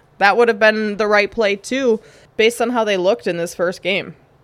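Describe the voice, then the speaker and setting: A woman talks fairly quickly at a medium pitch with a Minnesotan accent and ordinary pitch variation. The recording is very clean, with a silent background. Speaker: sports betting podcast host. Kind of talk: casual sports betting commentary.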